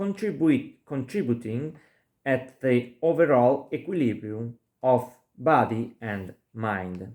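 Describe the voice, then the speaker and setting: In a very clean recording with a silent background, a man with a non-native accent speaks at a very slow pace and medium pitch, using lively intonation. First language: not English. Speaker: lecturer. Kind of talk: lecture. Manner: halting.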